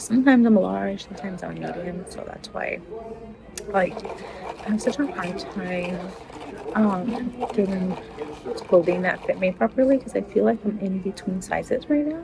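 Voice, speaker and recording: A woman at a moderate pace, with long, frequent pauses, big swings in loudness and noticeable background noise. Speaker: vlogger. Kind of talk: casual vlog talk.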